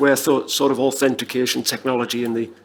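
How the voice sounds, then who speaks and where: A man with a Northern English accent speaks at a very fast pace in a medium pitch, with noticeable background noise. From northern England. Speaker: panelist, tech company executive. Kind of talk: conference panel discussion.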